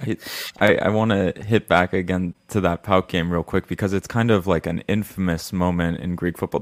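On a very clean recording with a silent background and a dry, close sound with no echo, a man speaks at a very deep, low pitch with fairly even intonation. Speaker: podcast co-host. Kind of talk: interview.

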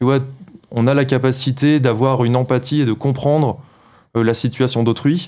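A man's dark, mellow tone at a fairly slow pace, with fairly even intonation. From France, Paris. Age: 30s. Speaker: video game director. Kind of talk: interview.

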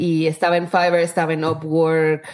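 A plain, everyday voice, a woman's, fairly low in pitch, at a moderate pace with fairly even intonation. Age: 30s. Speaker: startup founder. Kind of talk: interview.

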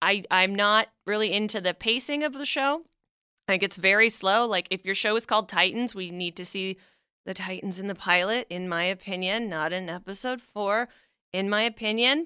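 In a very clean recording with a silent background, a woman speaks at a moderate pace. Her tone is bright and sharp. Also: medium pitch for a woman, ordinary pitch variation. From Canada. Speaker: podcast host, comics historian guest. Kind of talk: casual chat.

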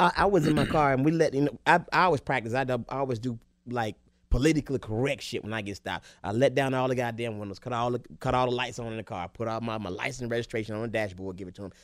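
A man with a Southern US accent talks very fast at medium pitch with ordinary pitch variation, in a very clean recording with a silent background. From Alabama (Tuscaloosa). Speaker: comedian. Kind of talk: casual chat. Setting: studio.

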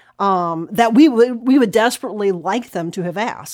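An unremarkable speaking voice from a woman at medium pitch, with ordinary pitch variation and a fairly quick pace, on a very clean recording with a silent background. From US South, North Carolina (Catawba County). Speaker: historian. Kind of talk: interview.

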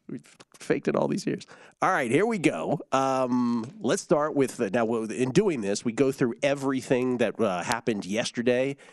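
With very wide pitch swings, a man at medium pitch speaks at a moderate pace. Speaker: sports betting radio host. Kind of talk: casual sports betting talk show.

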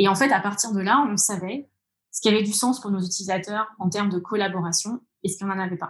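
A woman speaks at a very fast pace in a medium pitch, her voice somewhat breathy. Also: fairly even intonation. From France, Orléans area (Loire countryside). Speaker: tech product executive. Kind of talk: interview.

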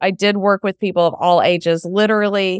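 Speaking with an American accent and an unremarkable speaking voice, a woman keeps a medium pitch, fairly even intonation and a moderate pace in a dry, close sound with no echo. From Texas, Houston. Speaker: software founder and former speech pathologist. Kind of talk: interview.

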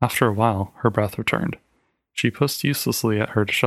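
The text is read out in a natural voice, its intonation fairly level, with a quiet backdrop.

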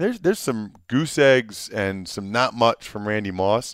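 A man talks at a fairly slow pace in a normal speaking voice, recorded very cleanly against a silent background with a dry, close sound and no echo. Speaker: former NFL player and podcast host. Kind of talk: casual chat.

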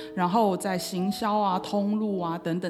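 A woman at medium pitch against noticeable background noise. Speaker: entrepreneur. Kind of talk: interview.

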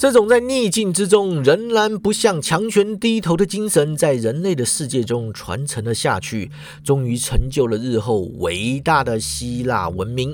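A man talks with an animated, dramatic tone at a fairly high pitch, his voice swinging very widely, at a fairly slow pace with hardly any pauses. Noticeable background noise runs underneath. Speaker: podcast host. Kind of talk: mythic storytelling narration. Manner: animated, dramatic storyteller; uses sentence-final particles, casual tone.

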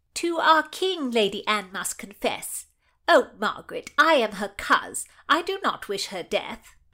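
A woman does a put-on character voice, raised and projected and nasal, in a high pitch with very wide pitch swings and big swings in loudness, at a fairly slow pace on a very clean recording with a silent background. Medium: read story. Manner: falsely sweet, spiteful.

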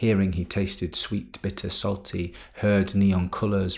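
A man's somewhat breathy voice sits very deep and low in pitch, with monotone, flat intonation. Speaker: podcast host; science poetry podcast host, academic. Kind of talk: spoken word poetry, reading poems aloud.

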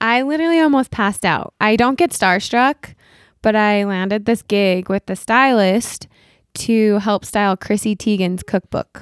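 A woman's ordinary speaking voice with an American accent, fairly high in pitch with ordinary variation, in a very clean recording with a silent background and a dry, close sound free of echo. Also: moderate pace. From Utah. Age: 30s. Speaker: artist and social media influencer. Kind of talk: interview conversation.

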